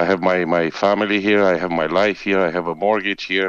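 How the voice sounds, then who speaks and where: A man speaks with a strong Romanian accent at a moderate pace, his voice very deep and low. His intonation is monotone and flat, and the background is quiet. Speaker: bus driver. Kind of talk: recorded interview.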